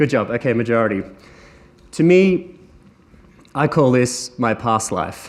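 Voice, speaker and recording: A man with an Australian accent, medium pitch, lively intonation, a fairly slow pace and long, frequent pauses. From Australia, Sunshine Coast. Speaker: entrepreneur speaker. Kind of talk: conference talk.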